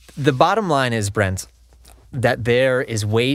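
A man in a normal speaking voice, fairly slow with lively intonation, in a very clean recording with a silent background. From US Northeast, Connecticut (born Long Island). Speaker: hockey player and music video singer. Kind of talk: casual chat.

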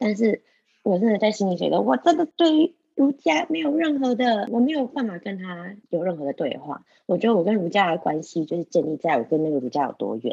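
Speaking at a fairly quick pace, a woman with a medium pitch and a dark, mellow tone makes very wide pitch swings, heard as a dry, close sound with no echo. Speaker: podcast co-host. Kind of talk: casual discussion of a scholarly book. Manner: animated.

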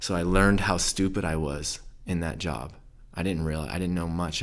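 In a very deep, low voice, a man with an American accent speaks at a moderate pace with monotone, flat intonation, and the room echo is audible. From southern California and rural Idaho. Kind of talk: interview. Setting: studio in Idaho Falls. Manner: mellow.

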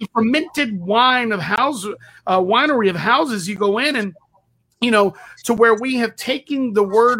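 With an American accent, a man uses a raised, projected voice at an extremely high pitch, talking at a moderate pace with ordinary pitch variation. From Texas. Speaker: pastor. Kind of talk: interview.

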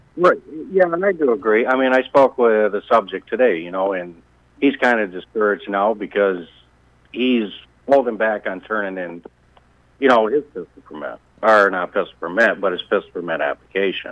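In an American accent, a man with a plain, everyday voice speaks at a moderate pace with a fairly low pitch and lively intonation. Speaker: sheriff candidate. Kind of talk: phone-in interview. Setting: phone call.

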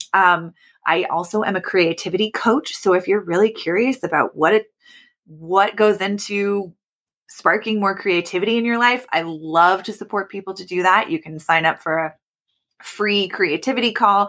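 A woman with a General American accent talks at a moderate pace and a medium pitch with ordinary pitch variation, in a plain, everyday voice. The recording is very clean, with a silent background. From US Pacific Northwest, Oregon. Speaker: creativity coach. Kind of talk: interview.

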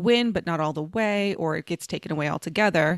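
A woman with an American accent and a fairly low pitch speaks with lively intonation, recorded very cleanly against a silent background with a dry, close sound and no echo. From Dallas, Texas (Oak Cliff). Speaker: comedian and actress. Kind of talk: casual chat.

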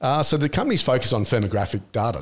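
Speaking at a very fast pace with an Australian accent, a man sounds somewhat breathy on a very clean recording with a silent background. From Australia, country Victoria. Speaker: tech entrepreneur and investor. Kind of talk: interview. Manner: casual, with frequent fillers.

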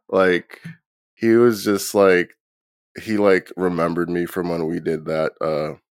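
A man with an American accent and a very deep, low pitch speaks with fairly even intonation and long, frequent pauses, in a dry, close sound with no echo. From New Jersey. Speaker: punk band bassist. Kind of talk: casual interview.

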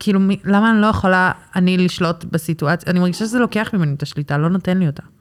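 A woman's medium-pitched voice at a very fast pace, with ordinary pitch variation and big swings in loudness. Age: 20s. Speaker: manicure client. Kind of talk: casual chat. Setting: nail salon studio. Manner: halting.

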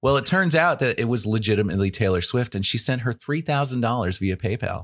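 A man speaks at a fairly quick pace in an unremarkable speaking voice. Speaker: podcast host. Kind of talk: casual chat. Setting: remote call during quarantine. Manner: joking, extroverted.

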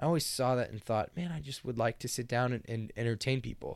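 With a Midwestern American accent, a man talks at a very fast pace in a very clean recording with a silent background. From Kansas (Lawrence). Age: 20s. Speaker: university student. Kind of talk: casual chat.

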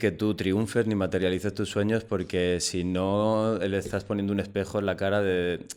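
A man's fairly low-pitched voice, a normal speaking voice, with fairly even intonation at a moderate pace. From Almería, Andalusia, Spain. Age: 40s. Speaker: playwright. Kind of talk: casual chat.

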